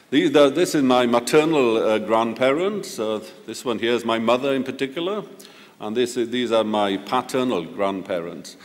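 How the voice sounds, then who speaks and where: A man with a Welsh accent speaks at a moderate pace and medium pitch, with lively intonation and audible room echo. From Wales, near Swansea. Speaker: professor. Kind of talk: ceremonial lecture. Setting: auditorium with audience. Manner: halting.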